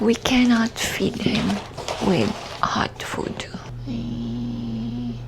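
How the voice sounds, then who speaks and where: Whispering broken by long, frequent pauses, with noticeable background noise. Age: 30s. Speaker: vlogger. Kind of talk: casual chat. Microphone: mic far from mouth.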